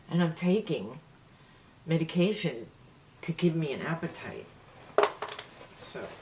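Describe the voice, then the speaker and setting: Over noticeable background noise, a woman with an American accent talks at a moderate pace in a fairly low pitch. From New York City. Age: 70s. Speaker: beauty vlogger. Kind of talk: casual chat.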